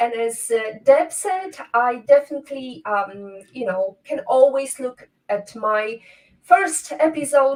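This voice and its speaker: A woman's high voice at a very slow pace. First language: not English. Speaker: podcast host. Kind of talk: interview conversation.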